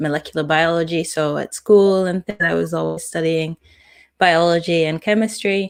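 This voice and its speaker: Speaking with a British accent, a woman uses a fairly low pitch and fairly even intonation. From UK. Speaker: data scientist. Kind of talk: interview.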